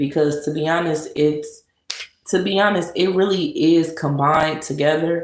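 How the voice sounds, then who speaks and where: Very deep and low in pitch, a woman talks with fairly even intonation amid audible room echo. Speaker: live streamer. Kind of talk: casual live stream talk. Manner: sluggish.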